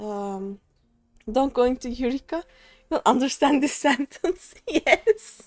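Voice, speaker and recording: In a dry, close sound with no echo, a woman speaks at a very slow pace in a high pitch, with very wide pitch swings and long, frequent pauses. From Turkey. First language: Turkish. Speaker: video game streamer. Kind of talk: casual chat. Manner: halting.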